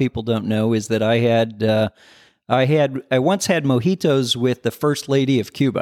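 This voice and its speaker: A man with a Midwestern American accent talks in a medium pitch with ordinary pitch variation, recorded very cleanly against a silent background with a dry, close sound and no echo. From US Midwest, southern Michigan and northern Indiana. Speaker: business founder and CEO. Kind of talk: interview. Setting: on site at company headquarters. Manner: halting, many fillers and repeated words.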